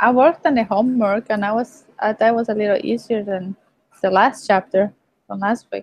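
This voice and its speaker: A woman speaks at a fairly high pitch with a Mexican accent. Her pace is fairly quick and her pitch variation ordinary. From Mexico. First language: Spanish. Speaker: online student. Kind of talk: casual chat.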